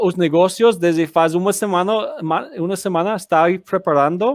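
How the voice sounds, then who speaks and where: On a very clean recording with a silent background, a man with a high pitch speaks fairly slowly with ordinary pitch variation. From United States. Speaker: activist. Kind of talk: interview. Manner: halting.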